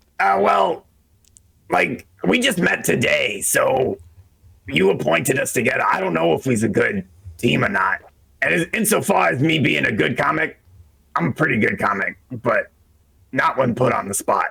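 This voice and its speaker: A man uses a raspy put-on character voice at a medium pitch, with long, frequent pauses. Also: moderate pace. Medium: actual play. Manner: casual, joking, street-talking.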